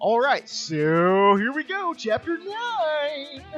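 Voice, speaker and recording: A put-on character voice, high-pitched and very slow, over clear background noise. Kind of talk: announcer-style delivery.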